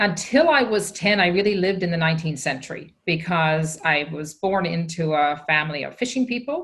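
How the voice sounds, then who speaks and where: Someone with a Newfoundland accent talks at a fairly quick pace with lively intonation. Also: woman, fairly low pitch for a woman. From Newfoundland, Canada (Fogo Island). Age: 60s. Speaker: social entrepreneur. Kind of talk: conference keynote conversation.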